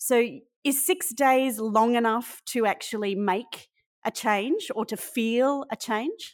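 On a very clean recording with a silent background, a woman with an Australian accent speaks very slowly at a high pitch with ordinary pitch variation. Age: 40s. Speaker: podcast host. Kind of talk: interview.

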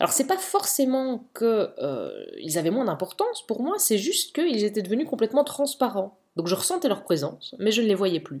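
Hardly pausing, a woman with a high-pitched voice talks at a moderate pace, her pitch swinging very widely. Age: 30s. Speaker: podcast host, mother. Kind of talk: solo personal podcast monologue. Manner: casual, chatty.

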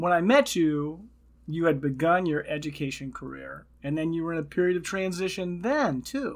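On a very clean recording with a silent background, an unremarkable speaking voice proceeds at a moderate pace. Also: man. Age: 60s. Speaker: podcast host and retirement coach. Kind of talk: casual interview.

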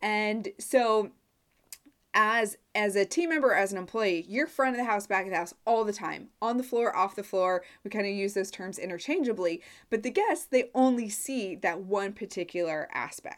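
Very clean and silent in the background, the recording catches a woman with a Midwestern US accent. She speaks at a moderate pace in a fairly high pitch with ordinary pitch variation. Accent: US Midwest. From Nebraska. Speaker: course launch consultant. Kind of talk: solo podcast monologue.

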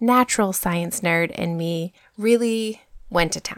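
In a very clean recording with a silent background and a dry, close sound with no echo, a woman has an ordinary speaking voice at medium pitch and a fairly slow pace. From US, New Hampshire. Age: 30s. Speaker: podcast host, former physician assistant. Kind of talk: solo podcast monologue. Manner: upbeat.

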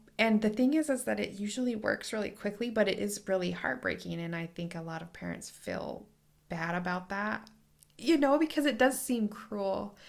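Her loudness swinging widely, a woman with an ordinary speaking voice talks at a moderate pace with lively intonation. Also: medium pitch for a woman. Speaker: lactation consultant podcast host. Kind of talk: casual interview.

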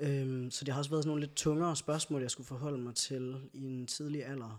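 In a very clean recording with a silent background, a man talks at a moderate pace with medium pitch and fairly even intonation. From Denmark, Skive. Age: 30s. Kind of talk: casual chat. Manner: hesitant fillers.

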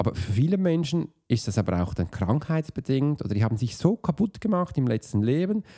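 A man speaks at a fairly quick pace in a dark, mellow tone, with big pitch swings. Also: medium pitch for a man.

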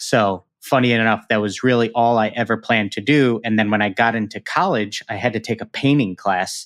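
A man speaks at a fairly quick pace with an American accent, his pitch medium. His intonation stays fairly even, and the recording is very clean with a silent background. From Chicago, US Midwest. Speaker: shoe artist. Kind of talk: interview.

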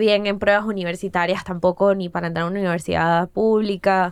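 The speaker is a woman. She talks with a Caracas Venezuelan accent. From Venezuela, Caracas. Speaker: TV and comedy producer. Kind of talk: casual interview.

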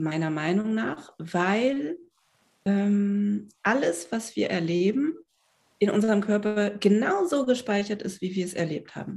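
A woman's somewhat breathy voice at medium pitch, very slow pace and ordinary pitch variation. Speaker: psychiatrist and body psychotherapist. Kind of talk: interview conversation.

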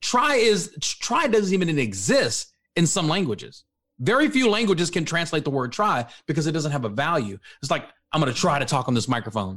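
A man with an American accent and vocal fry, fairly high pitch, very wide pitch swings and a fairly quick pace. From Texas, Dallas-Fort Worth area. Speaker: author and motivational speaker. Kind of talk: interview. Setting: studio.

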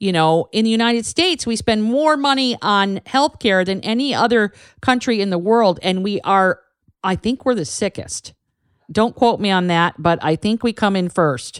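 On a very clean recording with a silent background, a woman with a normal speaking voice talks at medium pitch and a moderate pace, her intonation lively, the sound dry and close with no echo. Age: 50s. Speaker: canine herbalist podcast host. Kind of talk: solo educational monologue. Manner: casual, chatty.

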